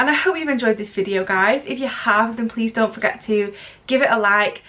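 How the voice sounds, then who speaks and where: Amid noticeable background noise, a woman with a fairly high pitch talks at a fairly quick pace with ordinary pitch variation. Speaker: beauty vlogger. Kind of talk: product review vlog. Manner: animated.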